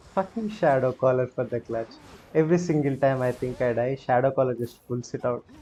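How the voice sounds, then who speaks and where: A man with an Indian accent speaks at a fairly quick pace in a medium pitch. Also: ordinary pitch variation. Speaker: gaming streamer. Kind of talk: live gameplay commentary. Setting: live stream. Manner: animated.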